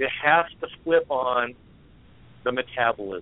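The speaker has an American accent. The pitch variation is ordinary. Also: man. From California. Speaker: fitness coach, Air Force veteran. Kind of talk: phone interview. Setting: phone call.

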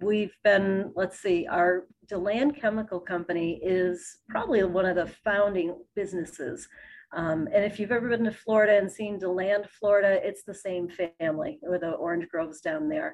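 Against a quiet background, a woman with an American accent and an ordinary speaking voice talks at a moderate pace, medium in pitch and with lively intonation. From Fairport, near Rochester, New York. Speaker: local tourism partnership representative. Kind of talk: interview.

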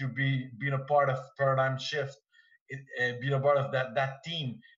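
Speaking at a fairly slow pace, a man talks in a Quebec accent. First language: French. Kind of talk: casual group discussion. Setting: video call. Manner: halting.

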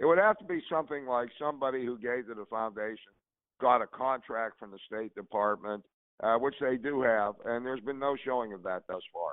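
A man with an American accent talks at medium pitch in a normal speaking voice, with ordinary pitch variation and big swings in loudness. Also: fairly quick pace. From Pittsburgh, Pennsylvania. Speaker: political commentator, panelist. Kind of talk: casual political panel discussion.

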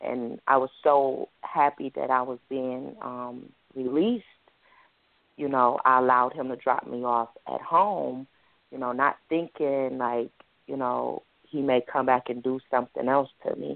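Speaking fairly slowly with fairly even intonation, a woman has a very deep, low pitch. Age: 30s. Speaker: author. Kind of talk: interview testimony.

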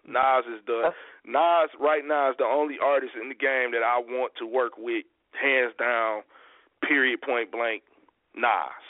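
An unremarkable speaking voice from a man with an American accent, medium in pitch, fairly even in intonation, and fairly slow. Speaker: hip hop artist guest. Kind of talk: casual interview chat.

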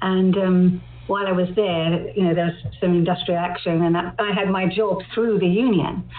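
With a southern English accent, a woman of medium pitch speaks at a moderate pace with monotone, flat intonation, very even loudness and hardly any pauses, over noticeable background noise. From London. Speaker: poet. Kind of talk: interview.

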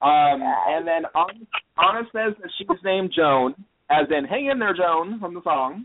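A man at a fairly slow pace, fairly high pitch, and lively intonation

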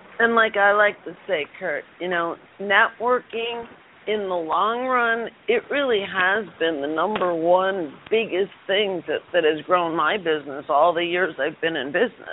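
In a normal speaking voice, a woman talks at a fairly slow pace and medium pitch with ordinary pitch variation. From Chicago. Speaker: radio show co-host. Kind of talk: interview. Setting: call-in radio show.

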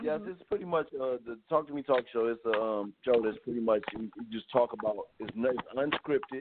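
A man's unremarkable speaking voice at medium pitch, moderate in pace, with lively intonation and hardly any pauses. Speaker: talk show host, actor. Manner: relaxed, conversational, says "you know what I mean" often.

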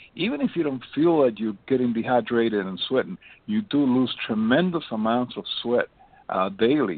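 With an ordinary speaking voice, a man talks at a moderate pace and medium pitch, his intonation lively. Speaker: doctor. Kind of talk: health talk show.

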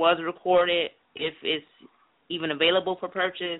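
In a plain, everyday voice, a woman with a fairly low pitch speaks at a moderate pace. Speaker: radio show caller. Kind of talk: call-in radio chat. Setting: phone call.

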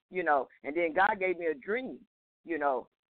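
A woman with a plain, everyday voice and a fairly low pitch speaks at a fairly quick pace. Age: 50s. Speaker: caller, hospital supervisor. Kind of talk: call-in conversation. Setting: phone call.

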